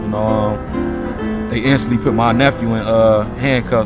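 Loud background music under a male voice. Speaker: witness. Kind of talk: interview answer. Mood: serious, troubled. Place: garden. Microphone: phone near.

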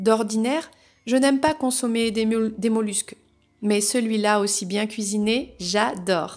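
A woman talks at a fairly slow pace with a fairly high pitch. Her pitch varies in an ordinary way against a quiet background. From France, raised in countryside near Paris. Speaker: novelist and spiritual guidance youtuber; spiritual guidance youtuber. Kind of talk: reading aloud. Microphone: phone near.

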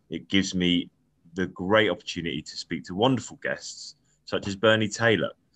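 Southwest English accent at a moderate pace, bright and sharp in tone, with ordinary pitch variation, big swings in loudness and a quiet background. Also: man. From Devon, England. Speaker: podcast host. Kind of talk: casual interview. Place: home room. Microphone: video call.

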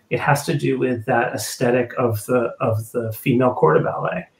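Someone with an American accent speaks at a moderate pace, with audible room echo. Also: man. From United States. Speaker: ballet company executive director. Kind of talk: live panel discussion. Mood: thoughtful, measured. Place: home room. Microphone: webcam.

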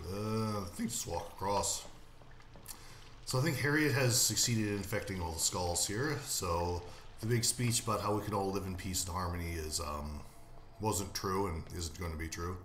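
With audible room echo and light background noise, a man speaks at a moderate pace with long, frequent pauses, using a very deep, low pitch and ordinary pitch variation. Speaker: game player narrator. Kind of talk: casual gameplay commentary.

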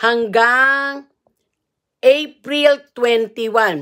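Over a quiet background, a woman speaks in a high pitch with a bright, sharp tone and ordinary pitch variation. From Philippines. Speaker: vlogger and marriage consultant; livestream host. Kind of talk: live stream reading rules aloud. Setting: live video at in-laws' home. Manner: informal, halting. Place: home room. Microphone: earbuds.

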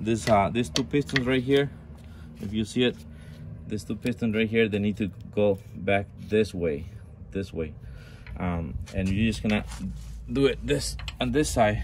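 At a fairly slow pace, a man speaks in a fairly low voice with vocal fry, very wide pitch swings and long, frequent pauses, over light background noise. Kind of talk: tutorial. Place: garage. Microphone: phone near.

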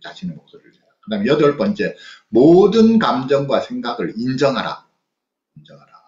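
Speaking at a moderate pace, a man with a fairly high, somewhat breathy voice makes very wide pitch swings and big swings in loudness, with audible room echo over a quiet background. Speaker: psychologist lecturer. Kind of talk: online lecture with book reading. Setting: video call. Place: home room. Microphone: webcam.

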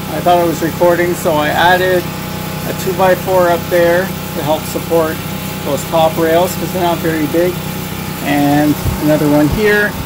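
Fairly slow speech under loud background noise. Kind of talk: tutorial. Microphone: phone near.

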